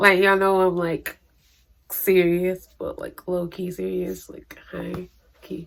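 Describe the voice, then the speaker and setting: Her loudness swings widely as the woman speaks at a very slow pace. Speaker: beauty vlogger. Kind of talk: casual product review vlog. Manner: rambling, chatty.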